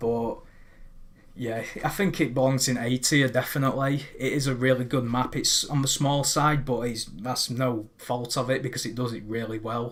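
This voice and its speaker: His pitch is in the medium range for a man. The intonation stays fairly even. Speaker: gaming YouTuber. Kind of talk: casual commentary monologue. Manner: fast; hesitant fillers.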